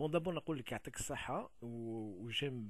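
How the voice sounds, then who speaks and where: Speaking very slowly, a man sounds somewhat breathy, with lively intonation. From Kabylie, Algeria. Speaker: video blogger. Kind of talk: video response monologue. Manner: halting, many fillers.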